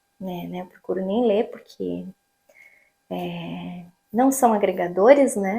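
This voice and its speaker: A woman in a Paraná accent speaks at a very slow pace, with long, frequent pauses and big swings in loudness. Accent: Paraná Brazilian Portuguese. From Brazil, Paraná. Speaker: vlogger. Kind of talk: casual vlog monologue.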